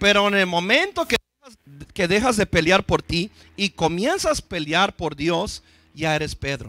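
Pitched high for a man, his bright, sharp voice is raised and projected, moving at a fairly slow pace with long, frequent pauses in a dry sound with no echo. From US, East Los Angeles; Los Angeles. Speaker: pastor; preacher. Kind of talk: sermon. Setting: church. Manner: halting, frequent repetitions. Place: church. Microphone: handheld.

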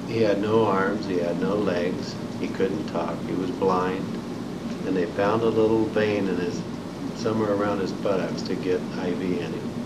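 A man with an American accent at a moderate pace, amid loud background noise. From Indiana, US Midwest. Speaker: Vietnam War veteran. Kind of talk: oral history interview, recalling war experiences and wounds. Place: meeting room.

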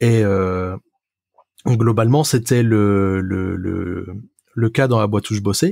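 A man with a dark, mellow tone and fairly low pitch speaks at a very slow pace, with long, frequent pauses, in a dry, close sound with no echo. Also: ordinary pitch variation. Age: 20s. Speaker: software developer. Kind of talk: casual chat. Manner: hesitant, many fillers.

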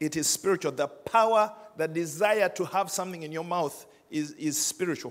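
Here a man talks at a fairly quick pace. His pitch is high, with ordinary pitch variation. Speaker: pastor. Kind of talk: sermon. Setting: church with congregation. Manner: conversational, wrapping up with practical advice. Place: church. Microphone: handheld.

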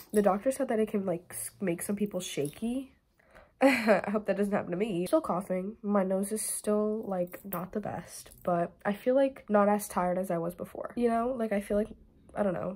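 A woman's somewhat breathy voice keeps a moderate pace, its pitch varying in an ordinary way. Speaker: vlogger. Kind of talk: casual vlog chat. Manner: congested, stuffy-nosed sick voice. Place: home room. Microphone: phone near.

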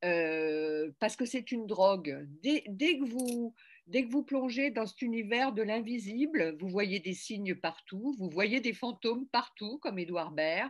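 A woman speaks very slowly at a fairly high pitch, with very wide pitch swings. The background is quiet. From France, Paris (Berry family); France. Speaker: novelist and magazine editor; interviewee. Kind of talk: interview. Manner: hesitant, many fillers. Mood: reflective, animated. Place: home room. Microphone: webcam.

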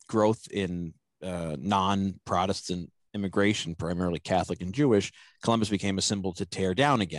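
In a dry sound with no echo and a quiet background, a man with a very deep, low pitch speaks at a moderate pace with fairly even intonation. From US, Italian American community. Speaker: podcast host and foundation director; podcast guest. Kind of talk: interview, historical explanation. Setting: remote recording. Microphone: headset.

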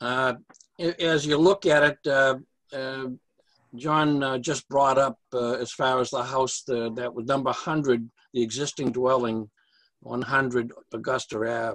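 A man's very slow, fairly even delivery, marked by long, frequent pauses. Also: quiet background. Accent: American. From Massachusetts. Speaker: civil engineer presenting subdivision plans. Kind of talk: public meeting presentation. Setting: video call. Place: office. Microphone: video call.

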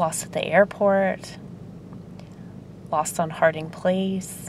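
Flat and monotone, a woman speaks in a dry sound with no echo over light background noise. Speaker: vlogger. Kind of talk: casual vlog chat. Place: car. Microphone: phone near.

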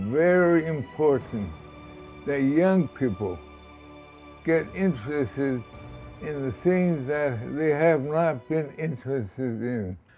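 Over faint background music, a man with a fairly high voice speaks at a very slow pace. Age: 80s+. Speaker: actor. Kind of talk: interview answer. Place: home room.

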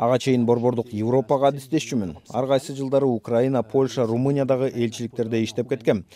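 In a dry recording with no echo and light background noise, a man with a dark, mellow tone talks at a very fast pace with hardly any pauses, keeping very even loudness and fairly even intonation. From France. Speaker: ambassador; interviewee. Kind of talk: interview. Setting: studio. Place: studio.

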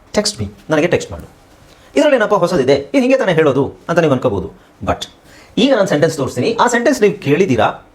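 This man's voice is high-pitched. It swings very widely in pitch. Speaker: English language teacher. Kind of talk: tutorial.

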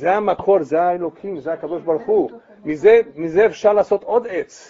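Spoken at a moderate pace, the speech carries lively intonation. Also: man. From Brazil. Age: 70s. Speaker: rabbi. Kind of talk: lecture. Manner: animated. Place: home room.

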